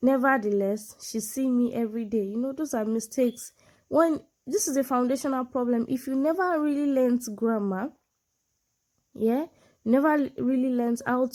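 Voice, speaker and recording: Speaking in a Nigerian accent at a moderate pace, the voice has a dark, mellow tone and ordinary pitch variation, captured in a very clean recording with a silent background. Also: woman. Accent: Nigerian (Yoruba) English. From Nigeria, southwest (Yoruba). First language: Yoruba. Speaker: medical doctor and English tutor. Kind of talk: tutorial.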